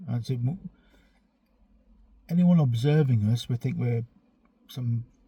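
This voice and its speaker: A man talks at a fairly quick pace in a somewhat breathy voice with a dark, mellow tone. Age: 40s. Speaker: vlogger. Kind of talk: casual monologue rant. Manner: halting, many fillers.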